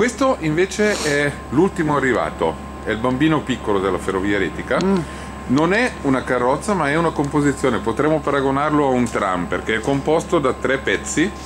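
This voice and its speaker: Male speech, fairly quick, with noticeable background noise. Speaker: guide explaining the trains. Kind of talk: guided tour explanation. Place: station. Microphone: phone near.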